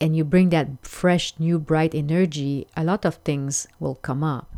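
The voice carries a French accent and a dark, mellow tone. Its intonation is fairly even. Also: woman. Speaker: podcast host, life coach. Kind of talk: solo podcast monologue. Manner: hesitant, with filler words.

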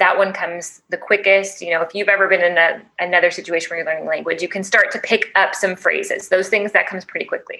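A woman with a Chicago accent talks at a very fast pace with hardly any pauses, her medium-pitched voice monotone and flat. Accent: Chicago American English. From US Midwest, Chicago. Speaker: teacher educator, ELL specialist. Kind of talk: podcast interview. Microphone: cord issues causing occasional noises.

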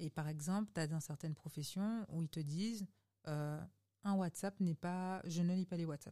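At a moderate pace, a woman speaks with a fairly low pitch, ordinary pitch variation, and a dark, mellow tone. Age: 30s. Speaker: digital transition consultant. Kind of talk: casual interview.

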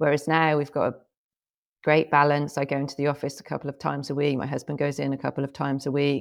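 Talking very fast, a woman with a very deep, low pitch and vocal fry keeps a flat monotone, recorded very cleanly against a silent background. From England. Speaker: healthcare marketing executive. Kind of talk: interview conversation.

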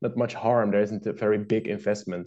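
Against a quiet background, a man speaks with a Dutch accent. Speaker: game designer and publisher. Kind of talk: casual interview. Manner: halting, many fillers.

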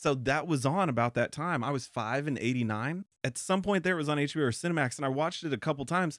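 On a very clean recording with a silent background, a man with a fairly high voice speaks very fast, with hardly any pauses, very even loudness and ordinary pitch variation. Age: 30s. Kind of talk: casual chat.

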